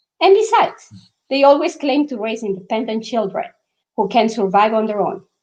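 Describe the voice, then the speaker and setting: Speaking with a strong non-native accent, a woman talks at a fairly quick pace in a fairly high pitch with lively intonation. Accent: thick foreign. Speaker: author. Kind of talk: reading aloud. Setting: live online event.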